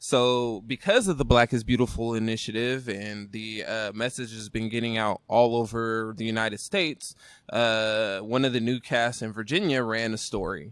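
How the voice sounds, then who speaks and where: In a very clean recording with a silent background, a man with an American accent and a plain, everyday voice talks at medium pitch and a moderate pace, with fairly even intonation and hardly any pauses. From Northern California (Rancho Cordova area). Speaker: brewery owner and brewer. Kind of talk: casual interview chat. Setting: brewery.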